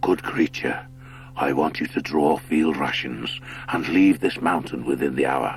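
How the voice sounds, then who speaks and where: A man puts on a character voice, very deep and low, speaking at a moderate pace with clear music in the background. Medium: read story. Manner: grave, commanding.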